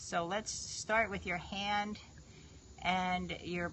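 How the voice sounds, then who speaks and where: A woman with an American accent speaks at a fairly low pitch with vocal fry. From New York. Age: 50s. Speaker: fitness trainer. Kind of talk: live stream chat. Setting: live video stream.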